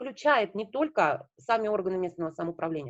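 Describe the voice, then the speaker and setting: A woman speaks with very wide swings in pitch. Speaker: local government association representative. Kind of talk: online meeting presentation. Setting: video call. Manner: fast.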